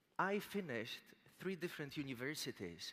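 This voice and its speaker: A man with a Polish accent speaks at a moderate pace, his pitch rising and falling in an ordinary way. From Poland. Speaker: motivational speaker. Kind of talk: motivational speech.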